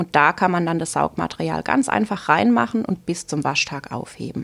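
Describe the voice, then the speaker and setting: Speaking at a moderate pace with vocal fry, a woman swings her pitch very widely. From Southern Palatinate, Germany. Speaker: teacher and cloth diaper consultant. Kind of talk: podcast interview.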